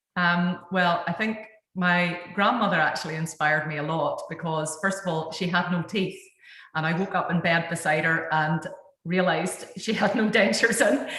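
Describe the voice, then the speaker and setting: A woman speaks in a strong Northern Irish accent at a fairly low pitch. Her moderate-paced speech carries audible room echo. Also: ordinary pitch variation. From Northern Ireland. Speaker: dentist, panel moderator. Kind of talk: webinar panel talk.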